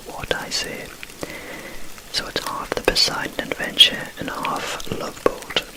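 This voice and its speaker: Whispered speech comes at a very slow pace, with noticeable background noise behind it. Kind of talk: casual whispered chat about films. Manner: whispered, soft-spoken.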